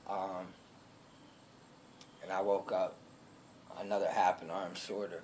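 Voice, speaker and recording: A man speaking at a fairly slow pace, with long, frequent pauses and noticeable background noise. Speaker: alligator attack survivor. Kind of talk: personal testimony. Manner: loud; hesitant, many filler ums.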